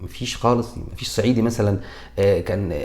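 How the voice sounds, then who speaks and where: There is audible room echo as a man talks at a medium pitch with ordinary pitch variation. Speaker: comedian, YouTuber. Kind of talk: comedic commentary. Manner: animated; halting, with self-corrections.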